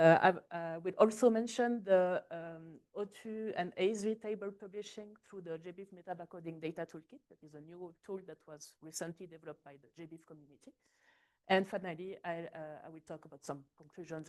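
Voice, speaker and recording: A woman speaks fairly quickly with a fairly low pitch and ordinary pitch variation. Her loudness swings widely. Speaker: scientist. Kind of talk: conference talk. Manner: soft-spoken; halting.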